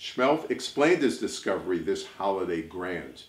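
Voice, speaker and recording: A man speaks at a fairly slow pace, with audible room echo around his voice. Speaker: storyteller. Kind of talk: reading a rhyming children's story aloud. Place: home room. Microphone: camera far.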